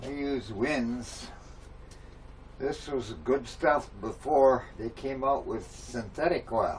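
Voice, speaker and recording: A man's medium-pitched, very slow speech with fairly even intonation, over noticeable background noise. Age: 70s. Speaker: retired mechanic. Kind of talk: DIY tutorial. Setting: home workshop. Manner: casual, halting.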